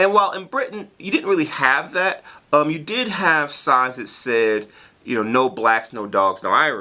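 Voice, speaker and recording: With an American accent, a man speaks at a moderate pace. His pitch swings very widely. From US South, North Carolina. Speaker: professor. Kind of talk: casual vlog talk to camera. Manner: halting, many fillers.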